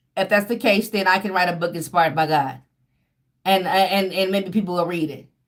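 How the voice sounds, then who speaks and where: Animated and at a fairly quick pace, a woman speaks with a medium pitch. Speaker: tarot reader. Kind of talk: casual monologue. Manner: fast.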